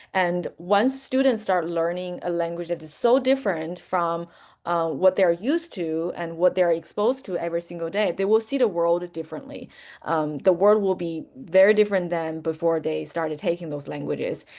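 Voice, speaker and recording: A woman with a Chinese accent talks at a moderate pace in a fairly low pitch with lively intonation, over a quiet background. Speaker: language teacher, webinar presenter. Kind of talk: webinar presentation. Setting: online webinar. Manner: many fillers and self-corrections.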